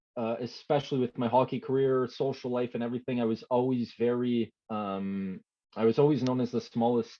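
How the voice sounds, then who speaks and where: Talking at a moderate speed, this man has an unremarkable speaking voice pitched in the middle range. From Canada, Quebec (Montreal area). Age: 20s. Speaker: former hockey player turned online creator. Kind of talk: podcast interview. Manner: many fillers and restarts.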